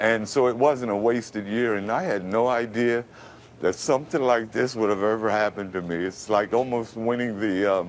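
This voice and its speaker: A man with an American accent talks at a moderate pace and a fairly low pitch in a plain, everyday voice. His pitch variation is ordinary. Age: 50s. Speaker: radio announcer voice, formerly homeless. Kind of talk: interview answer. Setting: TV studio interview.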